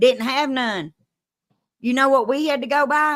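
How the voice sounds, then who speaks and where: A woman talks at a very slow pace in a high pitch, with a strong Kentucky accent. Her tone is bright and sharp. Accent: Kentucky twang, strong Southern. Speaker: live-stream host, true crime storyteller. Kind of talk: casual chat. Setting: live stream.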